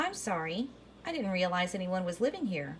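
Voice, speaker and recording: At a fairly quick pace, a woman performs a put-on character voice at a medium pitch, with clear background noise behind her. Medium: read story. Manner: cheerful, chatty.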